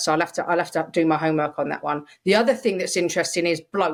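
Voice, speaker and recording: An animated, fairly quick woman's voice in a London accent, fairly low in pitch, with ordinary pitch variation. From London, England. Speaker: podcast co-host. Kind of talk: casual chat.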